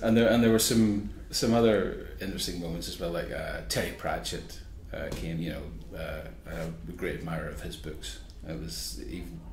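A man with a Northern Irish accent speaks at a moderate pace in a very deep, low pitch, with very wide pitch swings and big swings in loudness. Noticeable background noise runs beneath him. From Northern Ireland. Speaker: magazine editor and journalist. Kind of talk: interview answer.

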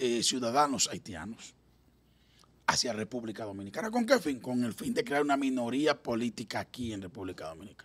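Lively intonation runs through this man's speech at a moderate pace. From Dominican Republic. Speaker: political analyst. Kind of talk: political talk show interview. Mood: earnest, argumentative. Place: studio. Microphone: studio mic.

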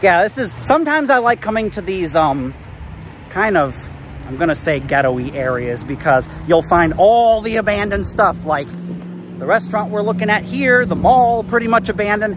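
A man's fairly bright, high-pitched voice with big pitch swings at a moderate pace, faint background noise behind it

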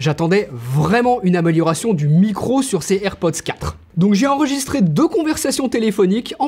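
Pitch swings very widely. The pace is moderate. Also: man. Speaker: tech YouTuber. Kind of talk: product review. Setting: outdoors on a street. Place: home room.

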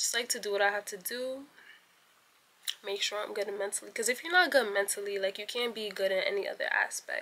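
At a fairly quick pace, a woman speaks in a bright, sharp tone with medium pitch and ordinary pitch variation.

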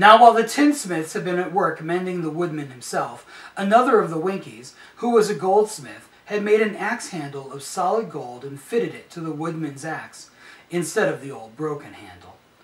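There is audible room echo as a man speaks with big swings in loudness. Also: moderate pace. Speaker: storyteller. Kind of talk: reading a story aloud. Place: home room. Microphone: camera far.

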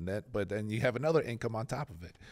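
A man's fairly low voice at a very fast pace, with ordinary pitch variation and a quiet background. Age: 40s. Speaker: podcast co-host. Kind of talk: casual chat interview. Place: studio. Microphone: studio mic.

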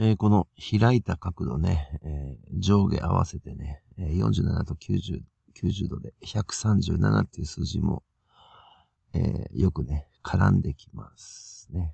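A man speaks with a very deep, low pitch and vocal fry at a very slow pace. His intonation is lively, and his loudness swings widely. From Japan, Toyama. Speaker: conspiracy video commentator. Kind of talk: solo commentary video. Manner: halting, many fillers.

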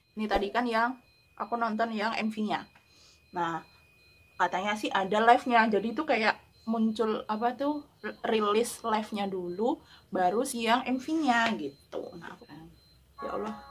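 A woman's fairly high voice with ordinary pitch variation, a fairly slow pace and long, frequent pauses. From Indonesia. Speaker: YouTuber reacting to music videos. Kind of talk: reaction video commentary. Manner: animated, excitable.

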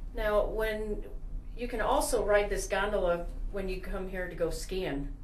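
The speech moves at a fairly slow pace with ordinary pitch variation. Audible room echo and light background noise are present. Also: woman. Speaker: travel video host. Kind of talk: casual travel commentary. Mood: cheerful, admiring. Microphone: phone near.

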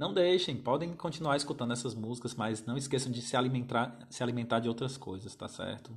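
A man talks at a fairly quick clip with a somewhat breathy voice and hardly any pauses against a quiet background. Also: ordinary pitch variation. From Brazil. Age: 30s. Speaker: music teacher. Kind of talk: live stream talk to viewers. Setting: Instagram live stream. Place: home room. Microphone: phone near.

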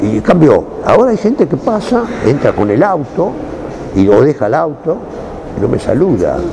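Over noticeable background noise, a man with a Rioplatense accent speaks at a moderate pace and a fairly high pitch, with very wide pitch swings and long, frequent pauses. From Buenos Aires, Argentina. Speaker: actor. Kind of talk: interview. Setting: cultural center.

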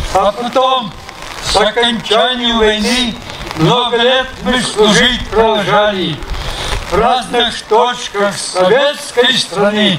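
Against loud background noise, a man with a high pitch uses a raised, projected voice at a very slow pace, with ordinary pitch variation. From Russia. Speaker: war veteran. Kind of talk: poetry reading. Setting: outdoors. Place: open country. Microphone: handheld.

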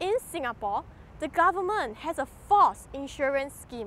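A woman talks at a moderate pace in a high pitch with very wide swings. The sound is dry with no echo, over light background noise. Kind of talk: speech to camera on rights issues. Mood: earnest, critical, questioning. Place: garden. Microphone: lapel.

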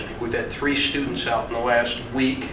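A man in an American accent keeps a moderate pace while noticeable background noise runs underneath. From US Midwest. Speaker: vocational program instructor. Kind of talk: orientation talk. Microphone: camera far.

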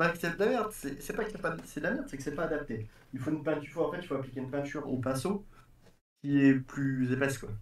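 Amid audible room echo, a man speaks at a fairly quick pace and fairly high pitch with lively intonation. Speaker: RC hobbyist; RC hobby streamer. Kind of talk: casual chat. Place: workshop.

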